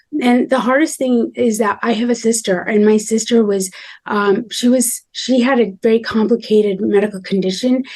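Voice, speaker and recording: This woman's voice sits fairly high in pitch, and she moves at a moderate pace. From India, moved to US at seven. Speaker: medical doctor. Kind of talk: interview conversation. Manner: hesitant, many fillers.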